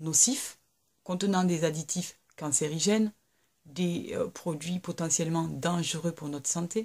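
Over a quiet background, a woman speaks fairly slowly in a somewhat breathy voice, medium in pitch with a dark, mellow tone. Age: 30s. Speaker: YouTuber, mother of three; YouTuber. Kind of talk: casual vlog monologue. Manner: hesitant, many fillers. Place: home room. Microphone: webcam.

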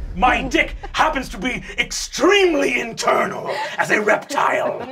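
Clear background noise sits behind a man doing a put-on character voice. His pitch is extremely high and his pace moderate. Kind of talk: comic improv. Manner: menacing then flustered.

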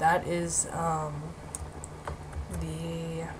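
A woman speaks over noticeable background noise. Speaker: gaming video creator. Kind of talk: gameplay commentary. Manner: halting, many filler words.

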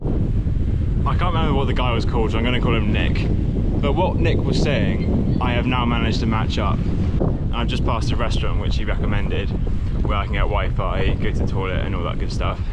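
Loud background noise sits behind a man talking at a fairly quick pace, the sound dry with no echo. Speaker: cycle touring vlogger. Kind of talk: casual vlog chat. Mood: relaxed and upbeat. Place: bicycle. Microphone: phone near.

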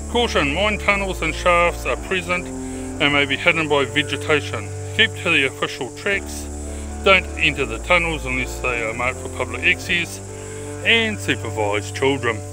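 Recorded dry with no echo, a man talks at a moderate pace over noticeable background noise. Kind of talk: casual vlog chat. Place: open country. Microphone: phone near.

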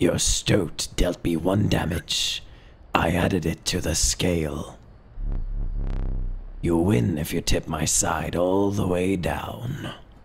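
A man uses a put-on character voice with a very deep, low pitch. He speaks at a fairly slow pace with long, frequent pauses over clear background noise.

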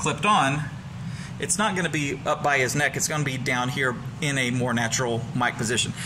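At a moderate pace and with ordinary pitch variation, a man speaks over noticeable background noise. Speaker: presenter. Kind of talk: tutorial. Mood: light, joking. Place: studio. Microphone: lapel.

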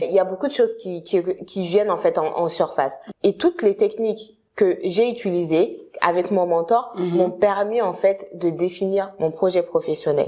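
Quiet background, a woman's dark, mellow tone at medium pitch, ordinary pitch variation, moderate pace. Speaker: career consultant. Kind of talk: interview. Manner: halting. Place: home room. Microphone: lapel.

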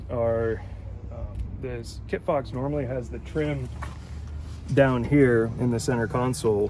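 A man is speaking. The sound is dry with no echo, with light background noise. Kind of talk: interview answer. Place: open country. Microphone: phone near.

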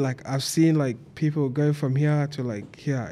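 The man's dark, mellow tone holds a monotone, flat intonation. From Australia. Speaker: media entrepreneur and event promoter; podcast guest. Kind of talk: casual chat. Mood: relaxed, casual slang. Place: studio. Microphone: studio mic.

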